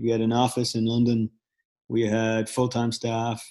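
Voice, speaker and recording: A man with a Dublin accent and a dark, mellow tone at a moderate pace. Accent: Irish (Dublin). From Ireland, Dublin. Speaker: startup founder, former photographer. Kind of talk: casual interview. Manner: halting, many fillers.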